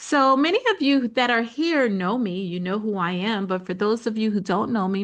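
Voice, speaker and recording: A woman uses an ordinary speaking voice at medium pitch and a moderate pace, with ordinary pitch variation over a quiet background. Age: 60s. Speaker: business coach. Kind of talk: webinar presentation. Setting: online presentation with slides. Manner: conversational, lots of fillers.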